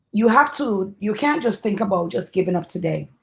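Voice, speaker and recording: This woman's voice is somewhat breathy. She talks at a moderate pace. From Brooklyn, New York. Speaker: panel moderator. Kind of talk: panel discussion.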